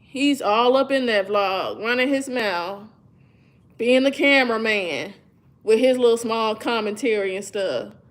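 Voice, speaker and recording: Animated in tone, a woman speaks at a fairly slow pace with a fairly high pitch and ordinary pitch variation. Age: 30s. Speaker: YouTuber. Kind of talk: casual chat. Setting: livestream.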